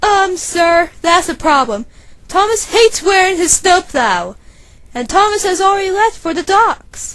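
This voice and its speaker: At a moderate pace, the speaker performs a put-on character voice. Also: female-sounding voice, extremely high pitch for a woman. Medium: dub. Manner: exasperated.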